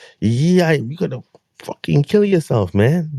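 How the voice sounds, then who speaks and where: On a very clean recording with a silent background, a man speaks at a very slow pace. His voice is fairly high in pitch, with a dark, mellow tone and a dry, close sound with no echo. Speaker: reaction video host. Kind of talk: casual reaction commentary. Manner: stuttering, repeats words.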